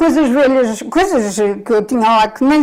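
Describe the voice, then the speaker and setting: A woman speaks at a moderate pace in a high voice, her pitch rising and falling in an ordinary way. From Portugal, Coimbra. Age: 70s. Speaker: retired former store worker. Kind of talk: casual interview chat.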